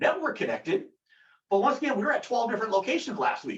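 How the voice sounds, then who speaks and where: Loud and lively in intonation, a man speaks with an extremely high pitch. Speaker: company product director presenting. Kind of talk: webinar product discussion. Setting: video call webinar. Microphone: echoey room.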